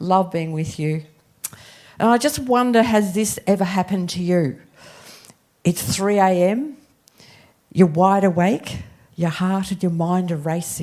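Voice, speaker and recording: A woman's dark, mellow voice in an Australian accent, at a medium pitch and fairly slow pace, with ordinary pitch variation and long, frequent pauses. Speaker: guest preacher. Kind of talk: sermon. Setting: church.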